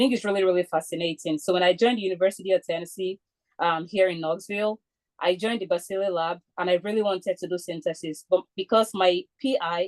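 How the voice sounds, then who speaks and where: The delivery is very fast with fairly even intonation, in a dry, close sound with no echo. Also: woman, medium pitch for a woman. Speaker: chemistry graduate student. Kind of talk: webinar talk. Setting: video call.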